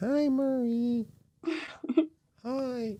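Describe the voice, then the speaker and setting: Someone speaks in a put-on character voice. The pitch is fairly high. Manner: silly, exaggerated voice for a cat.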